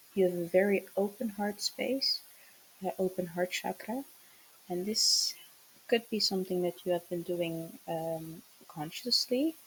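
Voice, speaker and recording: Over noticeable background noise, a woman talks fairly slowly at a medium pitch, with long, frequent pauses. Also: ordinary pitch variation. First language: not English. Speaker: tarot reader, spiritual channeler. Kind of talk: channeled tarot message. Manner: hesitant, many fillers.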